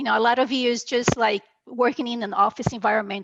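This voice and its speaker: A woman with a Brazilian accent, in a dry, close recording with no echo. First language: Portuguese. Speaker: medical coder. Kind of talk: interview.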